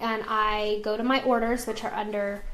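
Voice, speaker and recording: In an American accent, a woman talks at a moderate pace. Audible room echo surrounds her voice. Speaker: essential oils business team leader. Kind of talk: live stream tutorial. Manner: casual, chatty.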